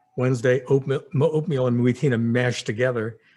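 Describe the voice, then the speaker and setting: This man speaks at a moderate pace, with a medium pitch and fairly even intonation. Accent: New Jersey. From New Jersey (Princeton). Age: 60s. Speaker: memoir storyteller. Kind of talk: personal reminiscence monologue. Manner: halting, many fillers.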